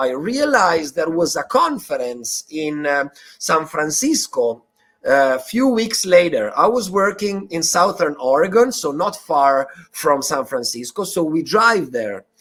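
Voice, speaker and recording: With an Italian accent, a man talks at a fairly slow pace in a high pitch that swings very widely. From Italy. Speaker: bitcoin activist and educator. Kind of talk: interview. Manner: halting with fillers and repetitions.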